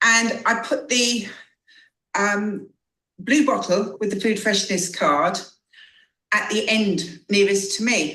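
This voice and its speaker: A woman with an English accent speaks at a very slow pace in a bright, sharp tone, with long, frequent pauses. Audible room echo surrounds her voice. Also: fairly high pitch for a woman, ordinary pitch variation. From England. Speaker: customer sharing testimonial. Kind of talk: testimony.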